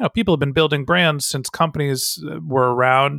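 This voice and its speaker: A man speaks in a plain, everyday voice. It sits fairly high in pitch, with ordinary pitch variation. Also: dry, close sound with no echo. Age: 40s. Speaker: marketing consultant and podcast host. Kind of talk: interview.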